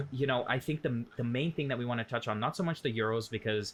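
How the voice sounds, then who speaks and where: A man with a Canadian accent talks at a fairly quick pace in a medium pitch. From Canada. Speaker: football podcast co-host and streamer. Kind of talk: casual chat. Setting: live stream with chat. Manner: animated.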